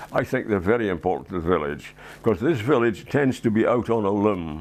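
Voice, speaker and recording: With a Scottish accent, a man speaks in a fairly low pitch and lively intonation. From Edinburgh, Scotland. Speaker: war veteran, retired loss adjuster. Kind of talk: interview answer. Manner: hesitant, reflective.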